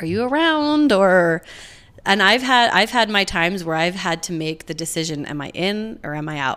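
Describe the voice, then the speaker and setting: This bright, sharp voice, in an American accent, moves at a moderate pace with very wide pitch swings and big swings in loudness. The recording is very clean, with a silent background. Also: woman, medium pitch for a woman. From Utah, US (Provo). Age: 30s. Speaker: podcast guest. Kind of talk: casual chat.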